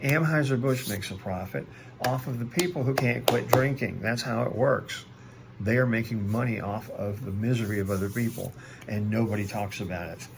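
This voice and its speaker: A man talks at a fairly quick pace with a medium pitch and ordinary pitch variation. The room echo is audible, and there is noticeable background noise. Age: 60s. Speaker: recovering alcoholic, video blogger. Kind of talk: personal video monologue. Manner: hesitant, many fillers.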